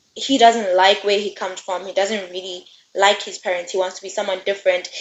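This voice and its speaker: With a non-native accent, a woman speaks at a fairly quick pace and a medium pitch. Her loudness swings widely. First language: not English. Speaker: book reviewer. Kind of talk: casual book review chat. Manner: animated.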